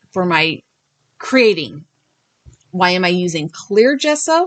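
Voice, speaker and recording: A woman's voice swings very widely in pitch. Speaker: paper crafter. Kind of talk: tutorial. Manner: halting.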